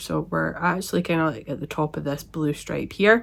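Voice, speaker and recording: A woman with a Scottish accent, on a very clean recording with a silent background. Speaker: knitting podcaster. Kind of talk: casual talk to camera.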